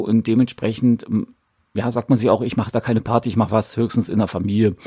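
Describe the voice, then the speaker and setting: Dry and close with no echo, a man's medium-pitched voice has a dark, mellow tone and monotone, flat intonation at a fairly quick pace. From East Germany. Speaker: podcast host with tinnitus. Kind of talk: casual monologue.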